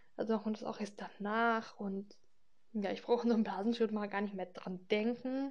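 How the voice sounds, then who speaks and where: At a moderate pace, the delivery stays fairly even in intonation and sounds somewhat breathy. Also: woman, fairly high pitch for a woman. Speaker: podcaster talking about her health. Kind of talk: casual personal monologue. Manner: hesitant, many fillers.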